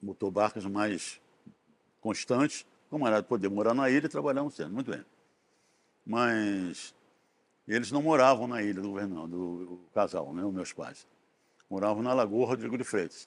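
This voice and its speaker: A man with a Rio de Janeiro accent speaks at a moderate pace in a fairly low voice with ordinary pitch variation. Long, frequent pauses stand out in this very clean recording with a silent background. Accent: Rio de Janeiro Brazilian Portuguese (carioca). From Brazil, Rio de Janeiro. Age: 80s+. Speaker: retired geologist. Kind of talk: oral history interview. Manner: halting, with many fillers.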